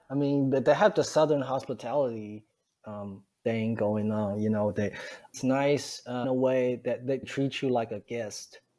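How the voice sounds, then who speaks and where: A man's medium-pitched voice in a Chinese accent, with ordinary pitch variation. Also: moderate pace. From China. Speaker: stand-up comedian. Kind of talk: interview answer. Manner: hesitant, many fillers.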